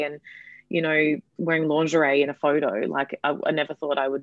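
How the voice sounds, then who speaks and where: A woman with an Australian accent speaks at a fairly quick pace and a very deep, low pitch, with fairly even intonation, in dry, close sound with no echo over a quiet background. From Perth, Western Australia. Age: 20s. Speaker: comedian. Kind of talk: casual chat.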